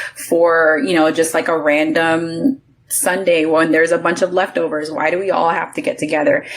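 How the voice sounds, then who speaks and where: Over noticeable background noise, a woman speaks in a fairly low pitch with ordinary pitch variation and very even loudness. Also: moderate pace. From US South, New Orleans. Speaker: podcast guest, lifestyle content creator. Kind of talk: casual chat.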